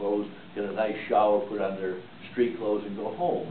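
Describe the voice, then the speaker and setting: A man's voice carries audible room echo. Background noise is noticeable too. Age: 90s. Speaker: war veteran. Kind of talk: testimony. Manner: halting.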